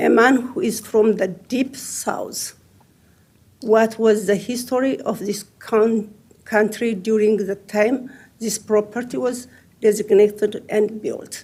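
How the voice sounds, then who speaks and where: Speaking at a very slow pace with a strong non-native accent, a woman has a fairly high, somewhat breathy voice with a dark, mellow tone and ordinary pitch variation. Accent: heavy foreign accent in English. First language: not English. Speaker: property owner testifying. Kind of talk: public testimony.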